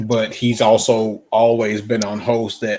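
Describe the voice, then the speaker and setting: A man speaks very slowly with a Southern US accent. His medium-pitched voice stays monotone and flat. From US South. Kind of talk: casual chat.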